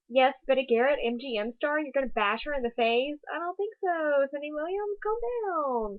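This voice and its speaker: Her high voice swinging very widely in pitch, a woman talks at a moderate pace with hardly any pauses. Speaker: classic TV vlogger. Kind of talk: casual video commentary. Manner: animated. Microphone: built-in computer microphone.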